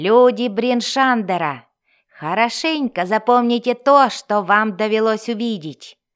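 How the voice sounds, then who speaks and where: Shouting at a moderate pace, a woman puts on a character voice with fairly high pitch and lively intonation. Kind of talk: commanding. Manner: shouted, menacing.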